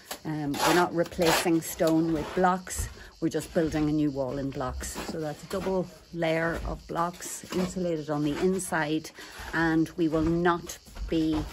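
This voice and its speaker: A woman talks slowly at a fairly low pitch with monotone, flat intonation. Noticeable background noise can be heard. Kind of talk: casual vlog chat. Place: garden. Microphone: phone near.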